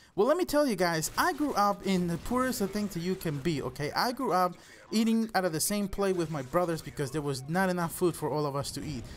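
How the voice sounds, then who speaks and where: Speaking at a very fast pace in a Spanish accent, this high-pitched man uses lively intonation. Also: hardly any pauses. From El Salvador. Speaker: gaming YouTuber. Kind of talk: personal storytelling vlog.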